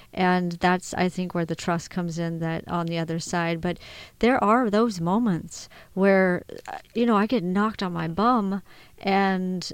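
On a very clean recording with a silent background, a woman uses a normal speaking voice at a medium pitch and a fairly slow pace, with ordinary pitch variation. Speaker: guest speaker on trauma and resilience.

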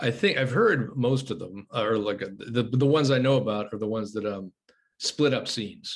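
This is a plain, everyday voice with an American accent, speaking at a moderate pace with ordinary pitch variation. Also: man, medium pitch for a man. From United States. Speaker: journalist and screenwriter. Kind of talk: casual chat. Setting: video call.

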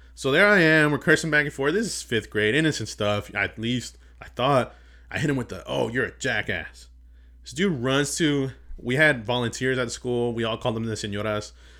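A man's loud, bright, sharp voice at medium pitch, with ordinary pitch variation, a moderate pace, and a very clean recording over a silent background. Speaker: podcast host. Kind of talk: casual chat.

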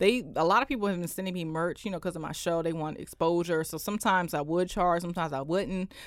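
A woman with a D.C. accent talks at a very fast pace in a fairly low voice, with ordinary pitch variation and hardly any pauses, on a very clean recording with a silent background. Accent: DC urban American, slightly proper. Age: 20s. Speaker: entrepreneur, accountant and talk show host. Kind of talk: casual radio interview. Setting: radio studio. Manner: casual, switches between proper and street.

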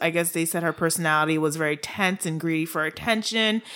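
In a Haitian accent, a woman talks at a fairly quick pace with a bright, sharp tone, a fairly low pitch and fairly even intonation. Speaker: true crime podcast co-host. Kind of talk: casual chat.

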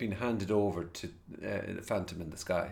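With an Irish accent, a man speaks at a moderate pace. His pitch variation is ordinary. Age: 40s. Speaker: podcast host. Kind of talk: casual chat. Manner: casual, swears often.

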